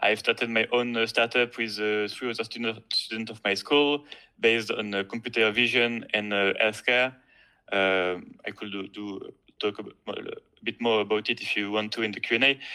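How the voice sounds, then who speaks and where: With a strong French accent, a man speaks at a moderate pace in a bright, sharp tone, at a medium pitch with monotone, flat intonation, on a very clean recording with a silent background. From France. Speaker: student competition winner. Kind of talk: presentation. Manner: halting, hesitant.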